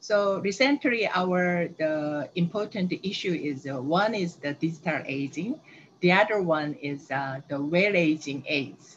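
A woman with a Korean accent at a fairly low pitch and fairly slow pace, lively intonation, over light background noise. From South Korea. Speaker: aging researcher. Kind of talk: webinar presentation. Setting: video call. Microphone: video call.

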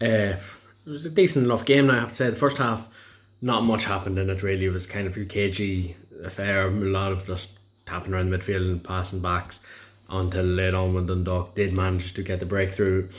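A man with an Irish accent speaks at a fairly quick pace. His voice is very deep and low, somewhat breathy, with fairly even intonation. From Ireland, County Louth. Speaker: football fan. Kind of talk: match review. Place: home room. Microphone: phone near.

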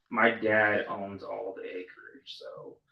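This is a man speaking. He has a strong Texas accent. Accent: strong rural Texas. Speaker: farmer and board applicant. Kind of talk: interview. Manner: hesitant, many fillers.

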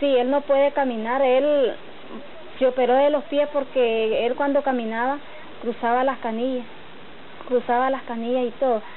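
A woman speaks with high pitch and a monotone, flat intonation, leaving long, frequent pauses. Noticeable background noise runs underneath. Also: moderate pace. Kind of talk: documentary interview.

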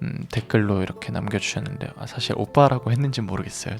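Music plays behind a man talking at a very fast pace. His pitch is fairly low, with ordinary variation. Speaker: singer, radio host. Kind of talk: casual radio talk.

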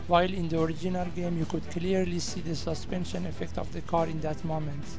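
A man with a non-native accent speaks at a very fast pace. Music plays in the background. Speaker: indie game developer. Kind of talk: devlog narration.

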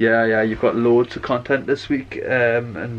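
A man is talking. His intonation stays fairly even. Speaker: family vlogger. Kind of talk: casual vlog chat. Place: home room. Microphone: phone near.

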